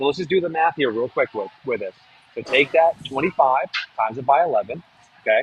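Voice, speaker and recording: A somewhat breathy man with a New England accent talks at a fairly quick pace in a dry, close sound with no echo. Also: ordinary pitch variation. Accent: New England American. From New Hampshire, US. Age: 40s. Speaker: real estate marketing expert and author. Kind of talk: webinar presentation. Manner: fast.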